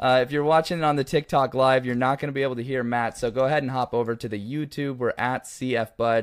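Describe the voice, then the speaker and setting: Speaking very fast with hardly any pauses, a man in an American accent keeps a fairly even intonation. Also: medium pitch for a man. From Oregon. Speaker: podcast host. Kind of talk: casual chat.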